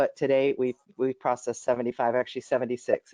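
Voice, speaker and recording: The pitch of this man's voice is medium. He talks fairly quickly. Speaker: water district general manager. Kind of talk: board meeting report. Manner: fast.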